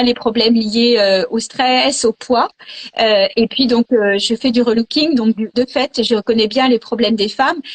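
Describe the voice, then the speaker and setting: At a very slow pace, a woman with a fairly high pitch talks with fairly even intonation and very even loudness. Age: 60s. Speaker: image consultant. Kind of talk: casual chat. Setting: video call.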